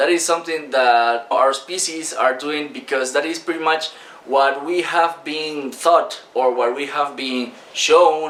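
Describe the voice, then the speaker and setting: With a Spanish accent, a man speaks at a moderate pace and fairly high pitch amid noticeable background noise and audible room echo. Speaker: online business coach. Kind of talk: talking-head video lesson. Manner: casual, many fillers.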